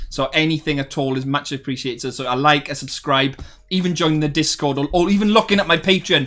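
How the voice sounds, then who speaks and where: The speech moves at a very fast pace with ordinary pitch variation. Music plays in the background. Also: man. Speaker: gaming streamer. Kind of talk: live stream chat. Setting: live stream. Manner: animated.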